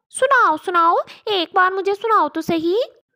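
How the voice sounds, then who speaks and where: A woman puts on a squeaky, cartoonish character voice at an extremely high pitch. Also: moderate pace. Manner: scolding.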